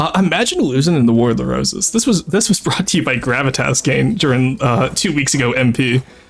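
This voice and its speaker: A man's lively, fairly high-pitched speech carries over noticeable background noise. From Quebec. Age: 20s. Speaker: streamer playing strategy game. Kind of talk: casual live-stream chat. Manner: animated, frequent self-corrections.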